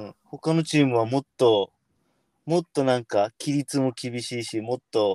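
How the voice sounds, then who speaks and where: A plain, everyday voice speaks at a fairly slow pace with ordinary pitch variation, the sound dry and close with no echo. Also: man, medium pitch for a man. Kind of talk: casual chat.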